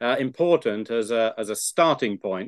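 In a normal speaking voice with ordinary pitch variation, the speaker goes at a moderate pace over a quiet background, the sound dry and close with no echo. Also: man. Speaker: theologian professor. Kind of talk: interview discussion.

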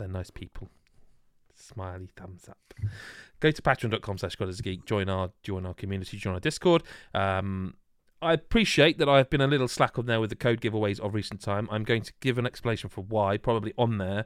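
In a very clean, dry and close recording with no echo and a silent background, a man with an unremarkable speaking voice talks fairly quickly at a fairly low pitch, with ordinary pitch variation and big swings in loudness. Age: 40s. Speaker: podcast host. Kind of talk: casual chat. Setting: live video stream.

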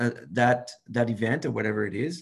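A man with a French accent, somewhat breathy, at a moderate pace against a quiet background. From France. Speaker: podcast host. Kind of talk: scripted intro; interview.

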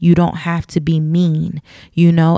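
A woman with a fairly low pitch speaks at a fairly slow pace, her sound dry and close with no echo. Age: 30s. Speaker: podcast host. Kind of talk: casual solo monologue. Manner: frequent fillers (um); switches accents and tones often.

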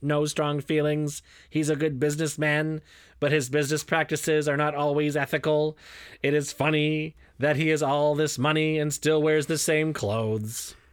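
On a very clean recording with a silent background, a man does a robotic, put-on character voice at a fairly high pitch. He keeps a moderate pace and a monotone, flat intonation.

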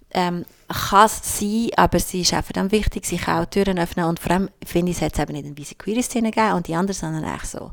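A woman with a normal speaking voice talks at a fairly low pitch with ordinary pitch variation, on a very clean recording with a silent background. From Switzerland, Albanian-speaking migrant family. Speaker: queer activist. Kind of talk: casual chat.

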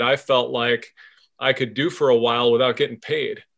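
A man's unremarkable speaking voice, medium in pitch, with fairly even intonation. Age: 50s. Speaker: podcast host.

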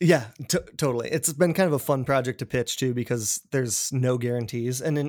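An ordinary speaking voice: a man with an American accent, medium pitch, fairly even intonation and a fairly quick pace, in a very clean recording with a silent background. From Colorado, small mountain town near Denver. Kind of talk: casual interview.

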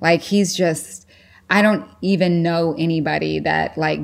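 A woman with a very deep, low pitch speaks at a fairly slow pace, with ordinary pitch variation. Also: very clean recording, silent background. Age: 40s. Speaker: fitness coach and former pro sprinter. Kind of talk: podcast interview.

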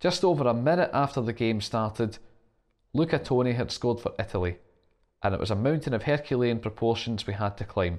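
A man's medium-pitched, lively voice on a very clean recording with a silent background. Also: fairly quick pace. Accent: Scottish. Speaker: football podcast host. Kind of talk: scripted narration.

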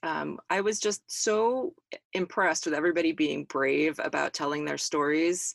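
Using an unremarkable speaking voice, a woman of fairly low pitch talks at a moderate pace with ordinary pitch variation. The recording is very clean, dry and close, with a silent background and no echo. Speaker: magazine editor, co-presenter. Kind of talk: casual chat.

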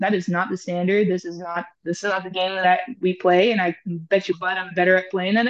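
A woman with an American accent and an unremarkable speaking voice talks at a fairly quick pace and medium pitch. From Houston, Texas, after early childhood in rural Alberta, Canada. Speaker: strength and conditioning coach. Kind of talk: interview conversation.

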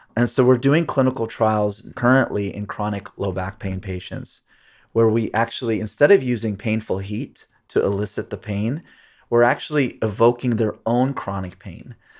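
A man's normal speaking voice at medium pitch and a moderate pace. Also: ordinary pitch variation. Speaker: neuroscientist and pain researcher. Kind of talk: casual interview conversation.

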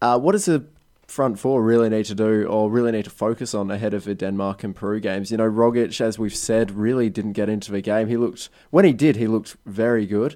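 Against a quiet background, a man with an Australian accent talks at a very fast pace in a fairly low pitch, with a dark, mellow tone and fairly even intonation. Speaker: podcast host. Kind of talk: casual chat. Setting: studio.

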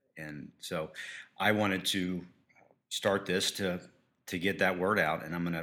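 Keeping a monotone, flat intonation, a man speaks at a moderate pace with a very deep, low pitch. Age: 40s. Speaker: podcaster in addiction recovery. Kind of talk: interview.

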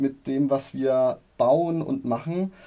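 Speaking at a fairly high pitch, a man has a dark, mellow tone. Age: 30s. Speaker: property developer sales representative. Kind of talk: interview.

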